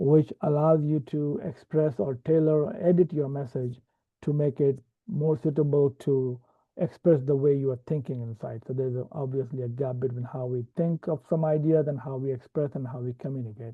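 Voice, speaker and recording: With a non-native accent, a man speaks at a moderate pace in a fairly high pitch with ordinary pitch variation. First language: not English. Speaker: software developer and platform trainer. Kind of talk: tutorial. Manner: hesitant, many fillers.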